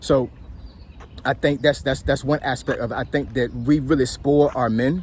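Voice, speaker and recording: At a moderate pace, a man of medium pitch talks with vocal fry and a fairly even intonation. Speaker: military veteran and commentator. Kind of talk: casual monologue. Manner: halting, repetitive.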